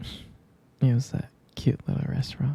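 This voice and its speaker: A soft-spoken man whispers. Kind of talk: ASMR boyfriend roleplay. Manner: whispered, soft-spoken.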